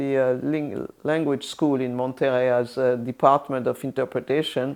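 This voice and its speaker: A woman in a French accent speaks with a very deep, low pitch and fairly even intonation. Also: quiet background. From France, Orléans. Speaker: retired UN interpreter. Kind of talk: interview. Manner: halting, many fillers and restarts.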